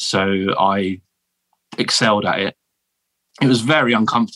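With a southern English accent, a man speaks at a moderate pace and a fairly low pitch, his tone bright and sharp, with ordinary pitch variation. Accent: posh southern English, likened to royalty. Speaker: military veteran turned teacher. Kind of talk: casual interview chat. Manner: halting, with repeated false starts.

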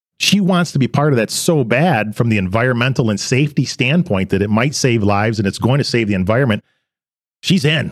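In an American accent, a plain, everyday voice speaks. Its intonation is lively. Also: man, medium pitch for a man. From western Michigan. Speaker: manufacturing company president. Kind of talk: interview.

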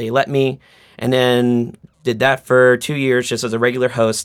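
An unremarkable speaking voice at a fairly quick clip, in a very clean recording with a silent background. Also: man. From Boston, Roslindale. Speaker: social group organizer. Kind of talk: casual chat.

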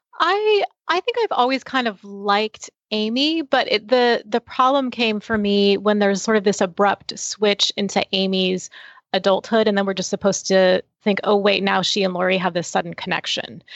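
With an unremarkable speaking voice, a woman talks at a moderate pace with a medium pitch and ordinary pitch variation. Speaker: film critic. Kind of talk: panel discussion, film review.

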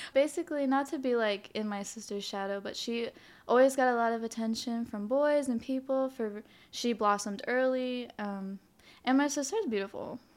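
A woman speaks in a high voice with ordinary pitch variation on a very clean recording with a silent background. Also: moderate pace. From Hawaii. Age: 20s. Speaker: photographer. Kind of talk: casual chat.

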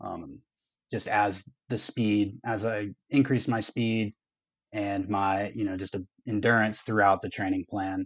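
Over a quiet background, a man talks at a fairly low pitch and a moderate pace, in a dry, close sound with no echo. His intonation is fairly even, and he leaves long, frequent pauses. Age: 20s. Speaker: runner and PhD student. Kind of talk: coaching call. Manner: hesitant with fillers.

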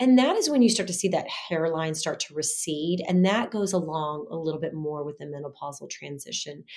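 A woman with a normal speaking voice and a fairly low pitch talks at a moderate pace with ordinary pitch variation. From US South. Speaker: gynecologist. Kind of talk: casual interview.

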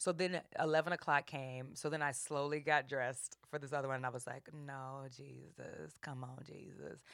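A woman with a very deep, low pitch, big swings in loudness, a moderate pace and hardly any pauses. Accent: American. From US South, New Orleans. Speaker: comedic actress and improviser. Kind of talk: casual chat. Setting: studio. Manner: animated.

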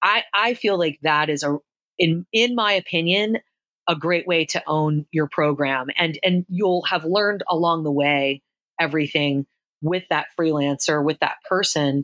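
A woman with an American accent talks at a fairly slow pace in a normal speaking voice, her pitch fairly low with ordinary variation and her loudness very even. The sound is dry and close, with no echo. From Philadelphia area, US. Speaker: affiliate marketing consultant. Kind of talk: interview. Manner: frequent repetitions and fillers.

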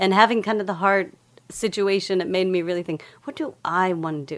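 Using an unremarkable speaking voice with an American accent, a woman talks at a moderate pace and medium pitch with ordinary pitch variation. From Texas, Lubbock. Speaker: data scientist, former dancer. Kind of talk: casual chat.

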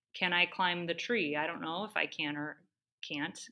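A woman with an American accent has a bright, sharp tone on a very clean recording with a silent background. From US Midwest (Cleveland, Ohio). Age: 30s. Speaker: endurance athlete. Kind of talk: casual interview chat.

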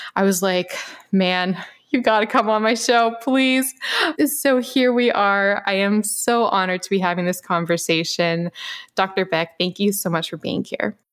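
A woman talks in a plain, everyday voice, medium in pitch with ordinary pitch variation, keeping a moderate pace. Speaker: podcast host. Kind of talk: interview chat.

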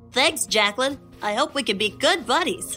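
With clear music behind her, a woman does a put-on character voice at a high pitch and a moderate pace.

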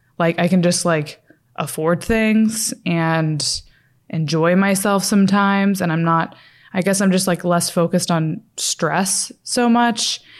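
A woman's fairly low voice at a slow pace, with ordinary pitch variation and a very clean recording over a silent background

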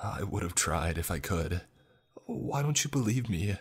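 Using a put-on character voice, a man speaks low in pitch at a fairly slow pace, with lively intonation and a slightly husky edge.

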